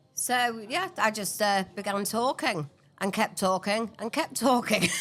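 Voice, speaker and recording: With lively intonation, a woman speaks at a fairly high pitch. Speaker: podcast co-host, charity founder. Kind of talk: casual chat. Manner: fast; halting.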